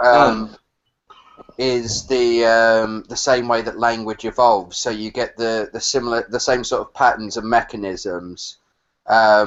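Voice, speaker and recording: A man with a British accent, medium-pitched, at a fairly slow pace in a monotone, flat intonation. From England. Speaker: caller. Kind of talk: casual chat. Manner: halting, many fillers; ends statements with yeah.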